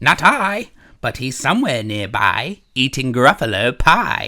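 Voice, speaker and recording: The voice is a put-on character voice. It goes at a fairly slow pace. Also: man, medium pitch for a man. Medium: read story.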